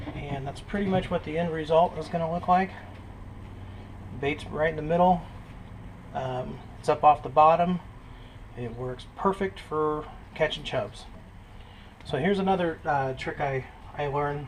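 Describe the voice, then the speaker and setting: A man with a fairly high pitch talks at a moderate pace in fairly even intonation, leaving long, frequent pauses. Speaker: fishing video maker. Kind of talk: tutorial. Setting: outdoors by a creek. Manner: whispering.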